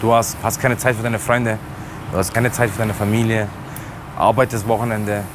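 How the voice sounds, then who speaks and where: Over noticeable background noise, a man speaks very fast in a flat monotone, broken by long, frequent pauses. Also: medium pitch for a man. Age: 20s. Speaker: taxi driver. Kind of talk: casual chat. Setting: in a car.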